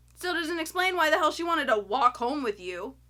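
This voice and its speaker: A woman's raised, projected voice with an American accent, a bright, sharp tone and very wide pitch swings. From US South, Florida. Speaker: YouTuber, film reviewer. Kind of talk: casual movie review. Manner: animated.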